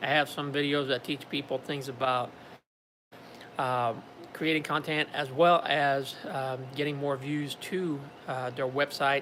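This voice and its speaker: A man with a fairly high pitch speaks with long, frequent pauses. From Quebec, Montreal. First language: French. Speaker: YouTuber. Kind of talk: live stream talk. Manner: halting, many fillers.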